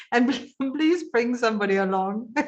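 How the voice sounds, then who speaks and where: The woman's voice carries ordinary pitch variation. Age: 60s. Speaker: webinar organizer and edtech presenter. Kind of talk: casual chat in an online conference.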